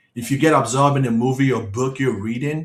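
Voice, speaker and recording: Fairly even intonation in a man's somewhat breathy voice. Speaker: hypnotist giving a quit-smoking webinar. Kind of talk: online webinar presentation.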